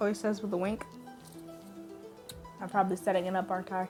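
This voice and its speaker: A woman with music in the background. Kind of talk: story reading with commentary. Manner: loud, energetic.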